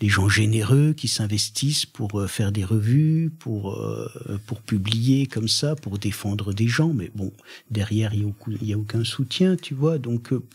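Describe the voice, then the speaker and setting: A man speaks in a Franche-Comté accent at a fairly slow pace. His voice is medium in pitch, somewhat breathy, with ordinary pitch variation. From Franche-Comté, eastern France. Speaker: poet and performer. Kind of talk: radio interview. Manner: hesitant, many fillers and restarts.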